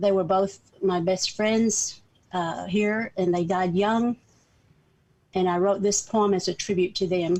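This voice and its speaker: With a Southern accent, a woman speaks at a fairly slow pace and medium pitch, using monotone, flat intonation, very even loudness, and long, frequent pauses. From US South, northeastern Oklahoma. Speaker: community organizer. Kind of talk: talk.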